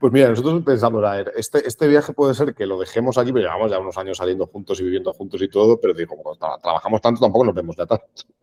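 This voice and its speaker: Talking at a very fast pace with hardly any pauses, a man has a dark, mellow tone, medium pitch and ordinary pitch variation, heard in a dry, close sound with no echo. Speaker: marketing professional, podcast guest. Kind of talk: interview conversation.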